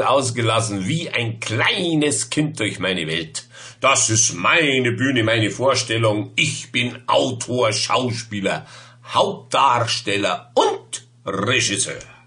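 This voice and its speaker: A man speaks at a medium pitch and a very slow pace. His tone is playful and his intonation lively. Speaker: poet. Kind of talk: poetry reading. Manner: playful, humorous. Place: home room. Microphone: webcam.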